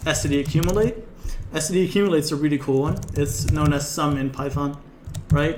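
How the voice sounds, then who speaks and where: A man's fairly high pitch and ordinary pitch variation at a fairly quick pace, with audible room echo and noticeable background noise. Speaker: programming lecturer. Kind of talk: live coding lecture. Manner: fast.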